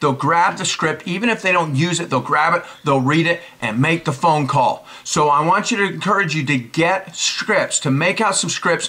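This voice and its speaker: A man with a high-pitched voice talks at a moderate pace with lively intonation and an animated tone, hardly pausing, over noticeable background noise. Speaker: network marketing trainer. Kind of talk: tutorial.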